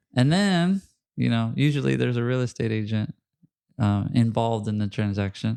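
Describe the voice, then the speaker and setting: A man with a Spanish accent and a dark, mellow tone talks at a moderate pace with lively intonation. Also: medium pitch for a man. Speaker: podcast host and home inspector. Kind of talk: casual interview chat.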